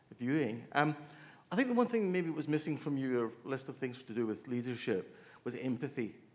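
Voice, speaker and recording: Speaking at a moderate pace with a New Zealand accent, a man uses a medium pitch and ordinary pitch variation. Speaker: audience member. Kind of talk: question from audience.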